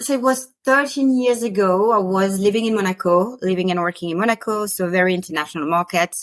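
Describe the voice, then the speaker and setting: A woman with a slight French accent talks at a very fast pace with hardly any pauses. Her medium pitch has ordinary pitch variation. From France. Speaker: spiritual teacher and business mentor. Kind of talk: podcast interview.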